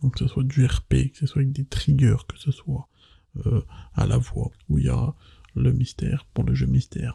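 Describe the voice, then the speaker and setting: This soft-spoken voice has a gentle tone and a dry, close sound with no echo. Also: man. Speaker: ASMR content creator. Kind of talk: casual talk to camera, ASMR chat. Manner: soft-spoken, quiet, gentle.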